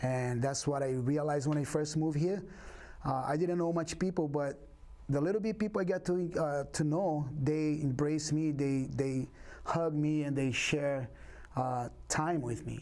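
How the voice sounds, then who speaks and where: In a Brazilian Portuguese accent, a man with a dark, mellow tone and fairly high pitch speaks with ordinary pitch variation and very even loudness, with audible room echo. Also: moderate pace. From Brazil, Rio de Janeiro. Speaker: capoeira instructor. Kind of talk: interview.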